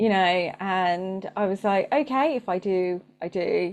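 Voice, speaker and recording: Lively intonation marks this woman's dark, mellow voice, delivered with a British accent. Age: 40s. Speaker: marketing coach and business owner. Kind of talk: casual interview chat.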